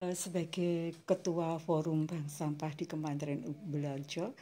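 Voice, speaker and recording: A woman talks at a fairly slow pace in a fairly low, dark, mellow voice. Her intonation is monotone and flat, and the recording is very clean with a silent background. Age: 60s. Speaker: community waste bank leader. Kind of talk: interview.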